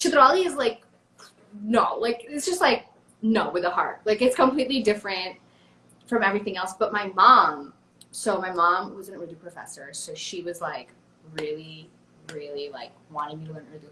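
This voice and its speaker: In an American accent, the voice is bright, sharp and animated, with very wide pitch swings and big swings in loudness. Long, frequent pauses break up the speech. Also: woman, medium pitch for a woman. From United States. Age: 20s. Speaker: social media creator and musician. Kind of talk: casual interview chat. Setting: live interview. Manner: animated, fast.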